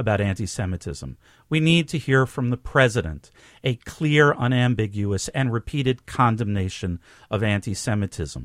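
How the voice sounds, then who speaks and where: A man with a New York accent speaks at a moderate pace and medium pitch with lively intonation, the sound dry and close with no echo on a very clean recording with a silent background. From New York City, Bronx. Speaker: rabbi. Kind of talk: interview. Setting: studio.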